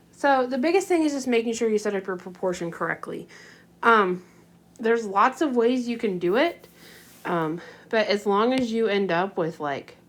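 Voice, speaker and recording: A woman speaks in an ordinary speaking voice at a moderate pace. Her pitch is fairly high and her intonation lively. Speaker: math teacher. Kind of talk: tutorial. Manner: casual with many fillers.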